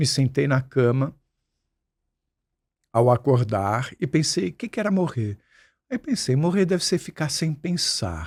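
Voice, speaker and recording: Somewhat breathy and fairly high-pitched, a man speaks at a fairly slow pace with long, frequent pauses. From Brazil, Santos (São Paulo coast). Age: 60s. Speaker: musician and screenwriter, podcast guest. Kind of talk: interview conversation.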